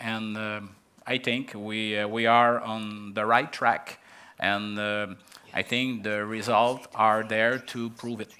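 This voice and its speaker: In a French accent, a man with a fairly low pitch talks at a very slow pace. His tone is bright and sharp, with monotone, flat intonation. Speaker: local development official. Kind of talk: panel discussion. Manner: halting.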